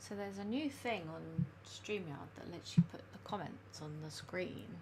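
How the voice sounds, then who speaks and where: A soft-spoken woman with a fairly low pitch uses very wide pitch swings, heard with audible room echo and noticeable background noise. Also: moderate pace. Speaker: illustrator and planner live streamer. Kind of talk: casual live stream chat. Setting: live stream at home. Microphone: too quiet, gain all the way up.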